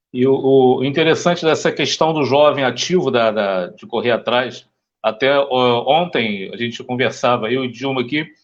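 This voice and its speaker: A man's normal speaking voice at a medium pitch, with ordinary pitch variation and a moderate pace. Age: 50s. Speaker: interview host. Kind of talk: interview.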